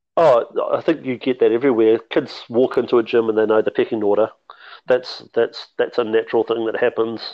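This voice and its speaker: Speaking at a fairly quick pace, a man talks in a New Zealand accent. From New Zealand, Mount Maunganui. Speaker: basketball development officer and coach. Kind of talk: podcast interview.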